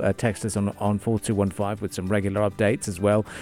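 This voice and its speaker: A man with an upbeat tone at a fairly quick pace, music in the background. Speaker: radio host. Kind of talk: radio dj patter. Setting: studio. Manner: chatty, upbeat, conversational; disfluent, rambling with fillers and repeats.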